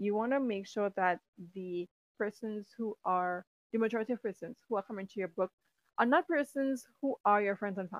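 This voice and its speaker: An animated tone comes through at a fairly quick pace with ordinary pitch variation, the sound dry and close with no echo. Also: woman, fairly high pitch for a woman. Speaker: podcast host and writing coach. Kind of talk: solo podcast monologue.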